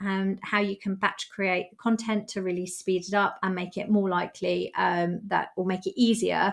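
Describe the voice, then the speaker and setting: On a very clean recording with a silent background, a woman talks at a fairly slow pace in a medium pitch. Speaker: travel business coach. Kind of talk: tutorial. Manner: hesitant, many fillers.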